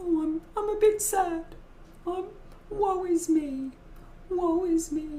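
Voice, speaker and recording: In a put-on character voice at an extremely high pitch, the speaker moves at a fairly slow pace with long, frequent pauses over light background noise. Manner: mopey, lamenting.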